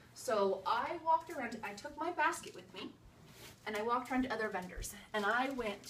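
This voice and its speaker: A woman with lively intonation, in audible room echo. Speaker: direct sales consultant. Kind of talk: video tutorial. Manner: fast; casual, filler-heavy.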